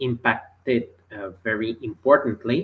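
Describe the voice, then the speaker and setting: A very slow pace in a very clean recording with a silent background. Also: man. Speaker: customer experience strategist. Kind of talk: explainer video. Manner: halting, many fillers.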